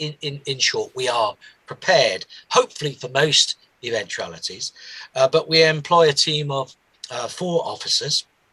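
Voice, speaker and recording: A man puts on a character voice that is squeaky and hoarse, fairly high in pitch. He talks at a moderate pace, and the sound is dry and close with no echo. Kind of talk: formal, official.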